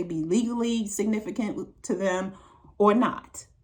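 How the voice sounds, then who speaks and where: With an American accent, a woman speaks at a medium pitch, somewhat breathy, with ordinary pitch variation. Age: 60s. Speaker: relationship advice vlogger. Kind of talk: monologue to camera.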